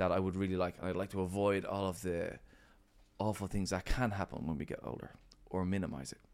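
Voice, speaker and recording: This man's voice has a very deep, low pitch and an Irish accent. The recording is very clean, with a silent background. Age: 40s. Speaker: gym owner and coach. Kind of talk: casual chat.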